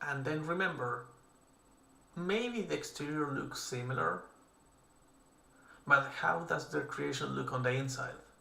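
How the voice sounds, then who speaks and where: In a room with audible echo, a man speaks with a non-native accent. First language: not English. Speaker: artist streaming creature design. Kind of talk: casual livestream commentary while drawing. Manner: casual, with fillers and self-corrections.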